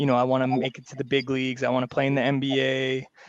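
Over noticeable background noise, a man with a medium pitch talks very fast in a monotone, flat delivery. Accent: Canadian. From Vancouver, Canada. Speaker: basketball coach and league commissioner. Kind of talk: casual interview.

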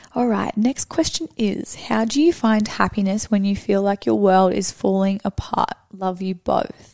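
A woman talks at a fairly slow pace in a normal speaking voice, medium in pitch with ordinary pitch variation. The sound is dry and close, with no echo. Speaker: podcast co-host. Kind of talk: casual chat. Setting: studio.

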